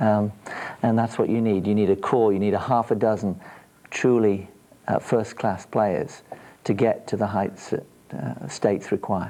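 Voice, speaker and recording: Speaking with an English accent, a man has a fairly low pitch and a dark, mellow tone. He keeps a moderate pace with ordinary pitch variation and long, frequent pauses. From England. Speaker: girls field hockey coach. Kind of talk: TV interview. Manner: hesitant, many fillers.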